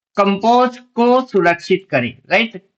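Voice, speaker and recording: A man speaks with ordinary pitch variation. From Bengal, India. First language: Bengali (speaking Hindi). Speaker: stock market trading educator. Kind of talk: tutorial. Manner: halting, self-correcting.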